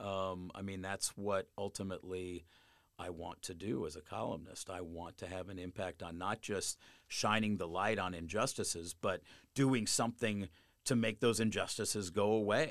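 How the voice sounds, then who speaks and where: A man with an American accent has an unremarkable speaking voice, fairly low in pitch. He talks at a moderate pace with ordinary pitch variation in a very clean recording with a silent background. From Colorado. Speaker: newspaper columnist. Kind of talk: interview.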